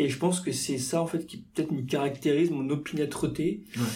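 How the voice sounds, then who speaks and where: Somewhat breathy and dark, mellow in tone, a man with a fairly high pitch speaks at a moderate pace with fairly even intonation amid audible room echo. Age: 30s. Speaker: journalist and safari guide. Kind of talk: casual interview. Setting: in-person studio conversation. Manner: halting, many fillers.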